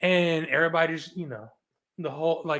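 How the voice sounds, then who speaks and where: With a Southern US accent, a man with a fairly high pitch speaks in an animated tone at a moderate pace. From US South (Roanoke, Virginia, Appalachia; then Tampa). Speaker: real estate investor, podcast guest. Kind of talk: casual interview storytelling. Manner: animated, with false starts.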